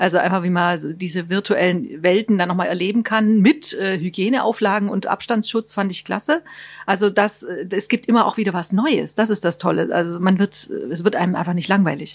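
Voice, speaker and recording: A woman has an ordinary speaking voice at a medium pitch with ordinary pitch variation. She talks at a moderate pace. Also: very clean recording, silent background. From Baden-Württemberg. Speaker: tourism staff, writes trip tips. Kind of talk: radio interview. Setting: studio.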